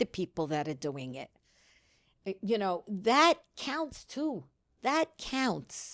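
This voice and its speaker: A woman at a fairly slow pace with very wide pitch swings, the sound dry and close with no echo, on a very clean recording with a silent background. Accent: New York. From US Northeast, New York City. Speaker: community organizer, grandmother of the host. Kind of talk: casual chat.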